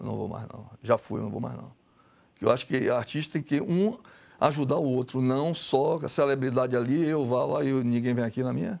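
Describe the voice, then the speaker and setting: A man's voice shows ordinary pitch variation and big swings in loudness. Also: moderate pace. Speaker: visual artist; guest. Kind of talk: TV interview. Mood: frank, somewhat aggrieved.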